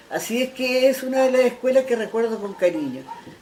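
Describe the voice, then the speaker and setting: Noticeable background noise is present throughout. Over it, a woman speaks at a moderate pace. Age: 70s. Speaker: retired schoolteacher, former folk group member. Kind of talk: interview. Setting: at her home.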